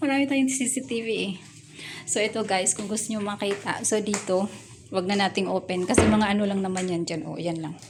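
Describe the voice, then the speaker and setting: A woman speaks softly at a medium pitch. There is noticeable background noise. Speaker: vlogger. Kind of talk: casual house tour vlog. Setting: home kitchen. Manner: soft-spoken, quiet.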